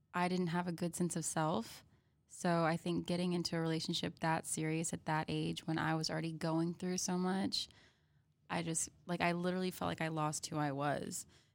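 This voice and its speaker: Her voice is a normal speaking voice, fairly low in pitch for a woman, with ordinary pitch variation. She talks at a fairly quick pace. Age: 20s. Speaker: singer and music student. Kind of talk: casual chat.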